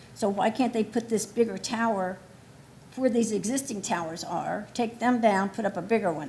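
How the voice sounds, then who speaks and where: The woman's somewhat breathy voice proceeds at a moderate speed, with ordinary shifts in pitch. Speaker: resident speaking at public hearing. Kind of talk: public hearing testimony. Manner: informal, conversational.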